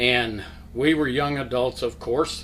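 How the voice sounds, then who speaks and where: Audible room echo surrounds a man speaking at a medium pitch with ordinary pitch variation. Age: 70s. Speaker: church member, Sunday school teacher. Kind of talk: testimony. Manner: halting.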